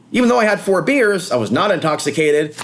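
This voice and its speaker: A man with an American accent talks at a high pitch and a fairly quick pace. His tone is animated, with very wide pitch swings. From US West Coast. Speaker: vlogger. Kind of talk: casual monologue. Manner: fast.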